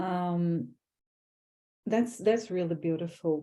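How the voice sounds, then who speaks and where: A woman with a strong non-native accent speaks at a fairly low pitch, with a dark, mellow tone and ordinary pitch variation. The recording is very clean, with a silent background. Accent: foreign accent, strong. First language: not English. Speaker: graduate student, panel moderator. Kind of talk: panel discussion.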